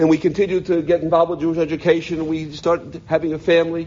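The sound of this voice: A man speaks at a fast pace in a slightly mellow tone, his pitch moving very little. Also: fairly high pitch for a man.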